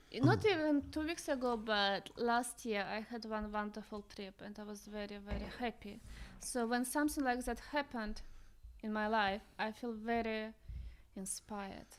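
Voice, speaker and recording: A woman's fairly high voice carries ordinary pitch variation as she talks at a moderate pace. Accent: Russian. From Russia. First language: Russian. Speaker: visionary artist. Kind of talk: casual chat.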